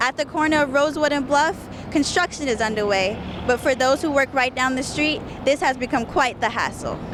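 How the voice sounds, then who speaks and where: Over noticeable background noise, a woman with an American accent speaks at a high pitch and fairly quick pace, with very even loudness and ordinary pitch variation. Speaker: television reporter. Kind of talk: broadcast news reporting. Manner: polished, clear, upbeat.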